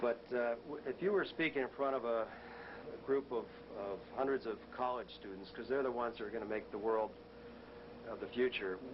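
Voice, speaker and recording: A man with an American accent talks at a medium pitch and a fairly quick pace, leaving long, frequent pauses. Noticeable background noise runs underneath. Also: ordinary pitch variation. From Massachusetts. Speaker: interviewer. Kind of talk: interview. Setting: office. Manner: halting, repeats words.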